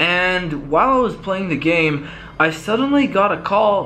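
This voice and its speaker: Over faint music, a man talks at a fairly slow pace in a raised, projected voice. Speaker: YouTuber. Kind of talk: casual vlog chat. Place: home room. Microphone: phone near.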